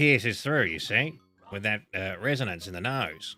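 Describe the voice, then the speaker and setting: Music plays in the background as a man speaks in a put-on character voice. It sounds nasal, with ordinary pitch variation. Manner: piercing.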